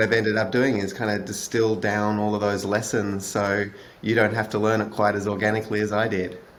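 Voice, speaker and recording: This man has an Australian accent and a fairly low pitch, with flat, monotone intonation. Audible room echo surrounds his voice. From Australia (Melbourne). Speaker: author and product manager. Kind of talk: podcast interview. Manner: hesitant, many fillers.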